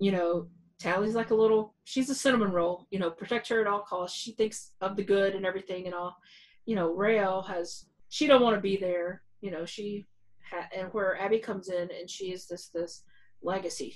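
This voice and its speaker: A woman talks at a moderate pace in an unremarkable speaking voice of medium pitch. Her intonation is fairly even, while her loudness swings widely. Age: 40s. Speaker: podcast co-host. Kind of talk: casual chat.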